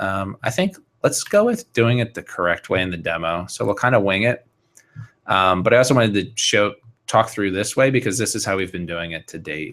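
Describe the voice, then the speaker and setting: In a normal speaking voice, a man talks at a fairly quick pace, his fairly low pitch rising and falling in an ordinary way. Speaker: software developer giving a webinar. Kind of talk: technical tutorial webinar. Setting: live online video broadcast.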